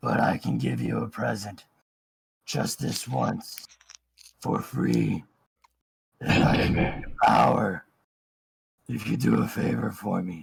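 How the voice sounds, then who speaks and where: A man's put-on character voice, raspy and very deep, with very wide pitch swings, a fairly slow pace and long, frequent pauses. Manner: menacing, tempting.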